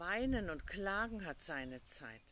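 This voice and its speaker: At a very slow pace, a woman with a fairly low pitch and a bright, sharp tone swings her pitch very widely, her sound dry with no echo. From Hesse, Germany. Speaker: pastor. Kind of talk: short devotional in dialect. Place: garden. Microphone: phone near.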